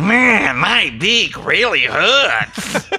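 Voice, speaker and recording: A put-on character voice in a Jersey accent, fairly high in pitch. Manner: complaining.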